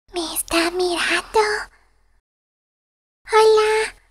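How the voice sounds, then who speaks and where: An extremely high put-on character voice at a very slow pace. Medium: dub.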